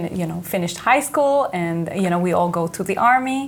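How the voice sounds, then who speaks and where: With audible room echo around her, a woman speaks with an Israeli accent and lively intonation. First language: Hebrew. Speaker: company executive. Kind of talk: interview.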